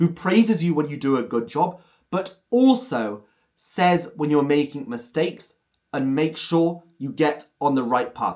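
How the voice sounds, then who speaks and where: With lively intonation, a man speaks at a fairly high pitch and a moderate pace. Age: 30s. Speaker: language teacher and polyglot. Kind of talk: tutorial. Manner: clear, careful enunciation.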